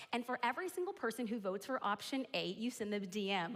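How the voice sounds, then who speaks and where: A woman speaks at a very fast pace with a high-pitched voice. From US, Mexican-American and Puerto Rican family. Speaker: business coach and keynote speaker. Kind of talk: keynote talk. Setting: stage with audience. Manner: animated.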